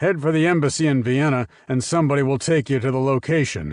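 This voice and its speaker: A man does a put-on character voice at a very fast pace, his loudness very even, over a quiet background. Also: medium pitch for a man. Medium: read story.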